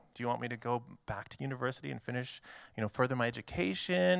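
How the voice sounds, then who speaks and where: In a plain, everyday voice with a Canadian accent, a man speaks at medium pitch with ordinary pitch variation in a very clean recording with a silent background. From Canada. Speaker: missionary. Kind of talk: church presentation. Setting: church.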